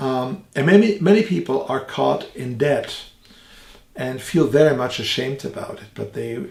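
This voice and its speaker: A man with a German accent speaks at a medium pitch and a fairly slow pace. His voice makes very wide pitch swings. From Germany. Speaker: theologian and evangelist. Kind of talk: religious teaching podcast. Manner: hesitant, with frequent fillers.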